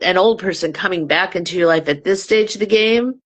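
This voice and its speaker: A woman uses a normal speaking voice at a moderate pace, with ordinary pitch variation. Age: 60s. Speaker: book reviewer hosting author interviews. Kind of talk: casual interview chat.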